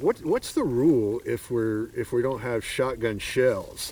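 Through noticeable background noise, a man talks fairly slowly at a medium pitch with ordinary pitch variation. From Arkansas. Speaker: podcast host. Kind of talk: casual chat. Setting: outdoors.

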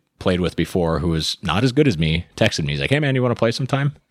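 Despite a very deep, low pitch, this man speaks with lively intonation. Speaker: podcast host and business owner. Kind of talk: casual chat. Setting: studio.

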